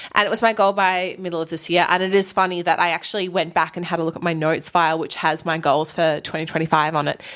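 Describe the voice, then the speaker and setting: Using an Australian accent, a woman with a fairly low pitch talks at a very fast pace with hardly any pauses and fairly even intonation. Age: 30s. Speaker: F1 podcast co-host. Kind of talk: casual chat.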